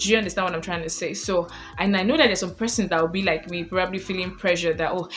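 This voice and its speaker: Over noticeable background noise, a woman with a Nigerian accent talks very fast, with ordinary pitch variation. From Nigeria, Lagos. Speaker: lifestyle vlogger. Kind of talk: casual advice vlog.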